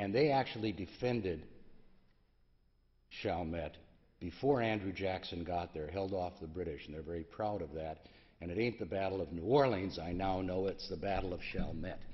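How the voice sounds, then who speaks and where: Heard with audible room echo, the voice moves at a moderate pace with ordinary pitch variation. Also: man, very deep, low pitch for a man. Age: 70s. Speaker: pediatric endocrinologist. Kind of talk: conference talk. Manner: halting, many fillers.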